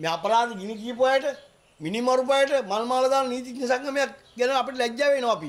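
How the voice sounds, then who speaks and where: A man talks at a fairly slow pace in an extremely high-pitched voice. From Sri Lanka. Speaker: assault victim speaking to media; politician at press conference. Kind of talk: media statement. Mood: indignant, accusing. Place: home room. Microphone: handheld.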